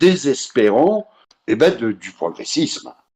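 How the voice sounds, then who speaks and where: A man speaking at a very slow pace. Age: 50s. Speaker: association president. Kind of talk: casual chat.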